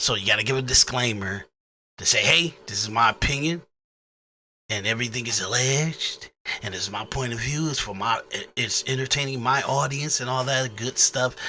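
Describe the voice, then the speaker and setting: A man at a medium pitch talks while music plays behind him. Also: ordinary pitch variation, moderate pace. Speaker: podcast host. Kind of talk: casual talk to audience. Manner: halting, repetitive.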